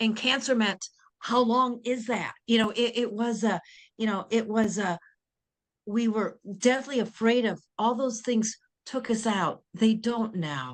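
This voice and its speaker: A woman talks with a fairly high pitch and fairly even intonation. Her speech has long, frequent pauses. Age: 60s. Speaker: insurance and care planning advisor. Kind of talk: interview. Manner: halting.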